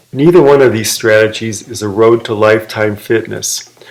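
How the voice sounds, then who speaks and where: The speaker has an American accent and talks at a moderate pace with fairly even intonation. Background noise is noticeable. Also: man. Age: 60s. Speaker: fitness video maker. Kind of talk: personal vlog monologue.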